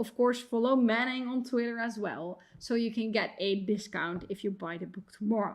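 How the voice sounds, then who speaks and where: A woman talks with a non-native accent and fairly even intonation. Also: fairly high pitch for a woman, moderate pace, hardly any pauses. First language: not English. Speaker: computer science professor and author. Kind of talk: conference talk.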